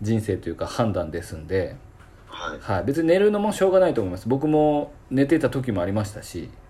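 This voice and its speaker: A dark, mellow, somewhat breathy voice moves at a fairly quick pace through very wide pitch swings. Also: man, medium pitch for a man. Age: 40s. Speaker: salon owner podcast host. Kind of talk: casual chat. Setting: video call.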